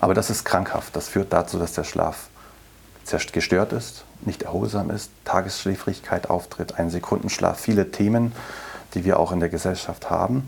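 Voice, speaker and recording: Noticeable background noise sits behind a man speaking with a fairly low pitch. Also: ordinary pitch variation, moderate pace. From Berlin. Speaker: chief physician, lung specialist. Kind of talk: interview.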